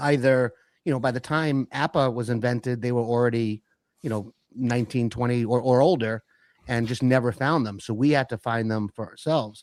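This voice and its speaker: A man's plain, everyday voice at a medium pitch, fairly quick in pace with fairly even intonation, in a very clean recording with a silent background and a dry, close sound with no echo. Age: 60s. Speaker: live stream host. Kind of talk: casual chat.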